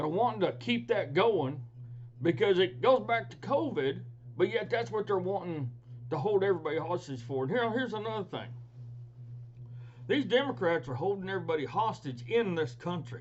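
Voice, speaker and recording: Pausing long and often at a moderate pace, a man uses a fairly high pitch with very wide swings. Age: 60s. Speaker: political commentator, ranch hand and veteran. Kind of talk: casual political commentary. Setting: at home. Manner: animated.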